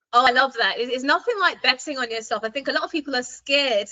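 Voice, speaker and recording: Very fast, lively speech with a British accent. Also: woman. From UK. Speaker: podcast host. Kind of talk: interview.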